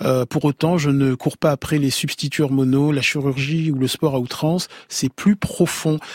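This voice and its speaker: A plain, everyday voice speaks at a fairly slow pace. Its loudness stays very even and its intonation fairly even. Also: man, fairly high pitch for a man, dry, close sound with no echo. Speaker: radio host. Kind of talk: radio interview with listener calls. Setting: studio.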